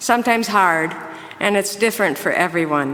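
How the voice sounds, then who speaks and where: A woman speaks with an Upper Midwest accent and very wide pitch swings. Noticeable background noise can be heard. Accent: Upper Midwest American. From Minnesota. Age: 60s. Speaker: church member. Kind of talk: testimony.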